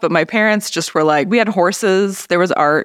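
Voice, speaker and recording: A woman with an Upper Midwest US accent, in a very clean recording with a silent background. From northern Minnesota. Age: 40s. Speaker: artist. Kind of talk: casual chat.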